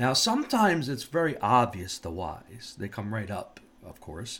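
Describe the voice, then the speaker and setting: A man speaks in a somewhat breathy voice with very wide pitch swings. The recording is very clean, with a silent background. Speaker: safety professional and podcast host. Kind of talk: solo monologue podcast.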